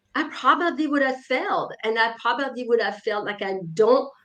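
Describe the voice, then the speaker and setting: Against a quiet background, a woman speaks with a French accent and lively intonation. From France, small mountain town. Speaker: author and leadership coach. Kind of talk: interview. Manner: hesitant with fillers.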